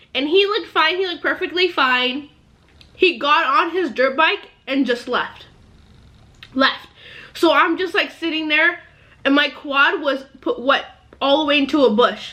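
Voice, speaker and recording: A woman's high, bright, sharp voice, raised and projected, at a fairly slow pace with ordinary pitch variation and long, frequent pauses. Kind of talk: casual talk to camera.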